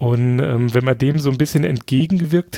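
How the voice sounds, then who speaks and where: Man with a dark, mellow tone, medium pitch, somewhat breathy, at a fairly slow pace, dry and close with no echo. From Saarland, near French border. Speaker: podcast guest. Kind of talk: casual chat. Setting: remote call.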